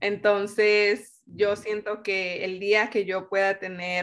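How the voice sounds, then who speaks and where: Her voice sits at a medium pitch. She speaks in a flat, monotone way. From Mexico. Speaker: engineer. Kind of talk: interview.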